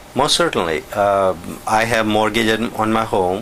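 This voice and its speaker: A man speaks at medium pitch over noticeable background noise. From India. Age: 60s. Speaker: business owner facing eminent domain. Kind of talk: interview.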